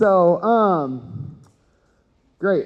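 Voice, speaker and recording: Loud and with an American accent, a man is speaking. His pitch shows ordinary variation. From Texas, Houston. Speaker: cannabis educator and event host. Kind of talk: conference talk. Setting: stage with audience. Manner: animated.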